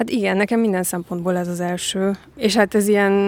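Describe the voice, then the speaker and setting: This woman talks at a fairly quick pace in a medium pitch. Her intonation is monotone and flat. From Transylvania, Romania (Cluj). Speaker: costume designer and actress. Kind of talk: casual chat.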